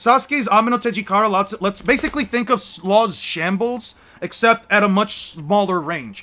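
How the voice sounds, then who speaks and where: Projecting his voice, a man with a high pitch and a bright, sharp tone speaks at a moderate pace with ordinary pitch variation. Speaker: streamer debating anime power scaling. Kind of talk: casual live stream chat. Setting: in his room, voice call. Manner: sounds irritated, exasperated; gets louder when heated.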